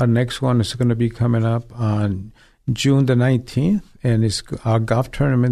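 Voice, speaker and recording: A man with a dark, mellow tone at a moderate pace. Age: 60s. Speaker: ministry director. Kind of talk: interview, testimony. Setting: studio.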